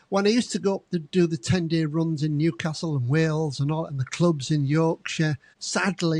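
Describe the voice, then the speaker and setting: A man talks in a normal speaking voice at a moderate pace, with fairly high pitch and fairly even intonation. The sound is dry and close, with no echo. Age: 60s. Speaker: retired club entertainer, interview host. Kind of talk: interview.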